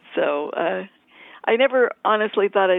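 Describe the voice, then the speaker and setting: A woman is speaking. She has a New England accent. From New England (Boston area). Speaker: magazine editor. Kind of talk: interview.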